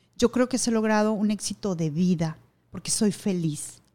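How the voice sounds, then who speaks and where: Pitch moves in an ordinary way. The recording is very clean, and the background is silent. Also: woman. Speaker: radio announcer and TV news anchor. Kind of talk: casual interview.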